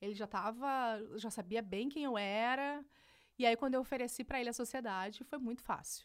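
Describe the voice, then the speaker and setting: Animated in tone, a woman speaks at a fairly high pitch and a moderate pace, recorded very cleanly with a silent background. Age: 30s. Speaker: digital entrepreneur. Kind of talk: casual interview. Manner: animated, laughs often.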